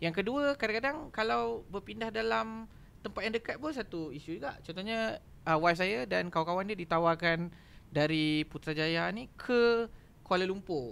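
At a moderate pace, a man speaks at a high pitch with very wide pitch swings. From Malaysia. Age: 30s. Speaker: academy operations head; podcast guest. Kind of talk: casual chat. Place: studio. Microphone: studio mic.

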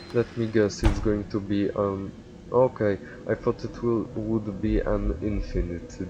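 A man speaks fairly slowly in a fairly low pitch, with noticeable background noise behind him. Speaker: gaming video creator. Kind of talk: casual gameplay commentary.

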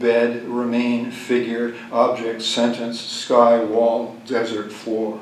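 The voice moves at a very slow pace with audible room echo. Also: man. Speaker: poet. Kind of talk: poem reading, deadpan and unbroken, long stretch of dense fragmentary verse. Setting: stage with audience, live reading. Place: hall. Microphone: podium.

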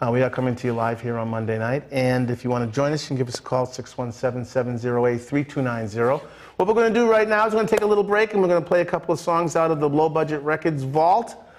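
Speaking very fast with hardly any pauses, a man with an American accent uses a fairly high pitch and very wide pitch swings. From Boston. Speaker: TV arts show host. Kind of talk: live TV talk show. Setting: TV studio. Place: studio. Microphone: lapel.

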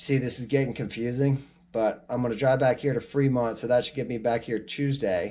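The tone is dark and mellow, and the intonation stays fairly even. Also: man. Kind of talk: casual vlog chat. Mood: stressed but matter-of-fact. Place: home room. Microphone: phone near.

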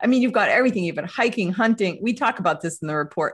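With an American accent, a woman uses lively intonation at a medium pitch, her voice somewhat breathy against a quiet background. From US Northeast. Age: 50s. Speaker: writer and report editor; report editor, panelist. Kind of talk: panel discussion. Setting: video call. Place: home room. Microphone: video call.

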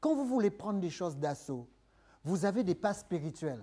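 The tone is dark and mellow, and the pace fairly slow. Pitch swings very widely. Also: man. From third-world country. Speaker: preacher. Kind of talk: sermon. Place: church.

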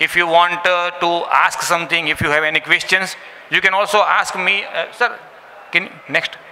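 A man speaks with a high pitch. His intonation is monotone and flat. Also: moderate pace. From India. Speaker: business presenter. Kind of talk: business presentation. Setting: live event with audience. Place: hall. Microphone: podium.

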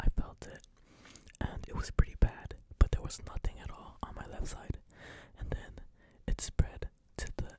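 A man whispers at a moderate pace in a relaxed tone. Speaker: ASMR creator. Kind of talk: ASMR casual talk to camera, soft whispering. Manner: soft-spoken, whispery, relaxed. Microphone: studio mic.

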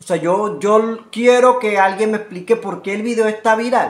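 His voice is high-pitched for a man, with ordinary pitch variation. The man talks at a moderate pace.

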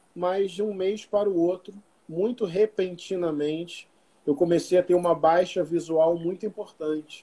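Despite a high pitch, this man's voice carries a dark, mellow tone, moving at a moderate pace with ordinary pitch variation. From Niterói, Rio de Janeiro state, Brazil; Rio de Janeiro state, Brazil. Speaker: pastor and writer; pastor. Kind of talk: casual interview chat. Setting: video call. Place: home room. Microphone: video call.

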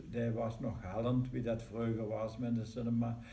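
A man's somewhat breathy, dark, mellow voice with a Limburg accent and monotone, flat intonation. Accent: Maaseik Limburgish dialect. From Maaseik, Belgian Limburg. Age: 80s+. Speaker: local band member telling its history. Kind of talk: interview answer, reminiscing. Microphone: camera far.

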